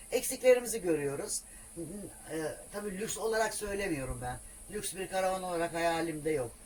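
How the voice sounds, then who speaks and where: Long, frequent pauses break up a woman's moderate-paced, medium-pitched speech amid noticeable background noise. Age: 60s. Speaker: solo camper van traveller. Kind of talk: casual interview.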